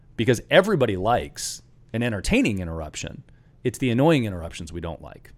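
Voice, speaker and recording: On a very clean recording with a silent background, a man with a normal speaking voice uses lively intonation. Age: 40s. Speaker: entrepreneur, company founder. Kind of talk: casual interview conversation.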